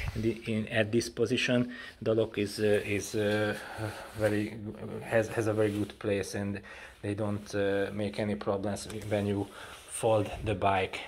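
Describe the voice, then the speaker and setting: A man with a Hungarian accent talks at a moderate pace and a fairly low pitch. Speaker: cycling hobby vlogger. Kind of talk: casual product demo. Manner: halting, many fillers and repeats.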